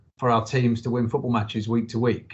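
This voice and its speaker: A man talks at a fairly quick pace. His medium-pitched voice is somewhat breathy. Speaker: football club chief executive. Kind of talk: interview answer.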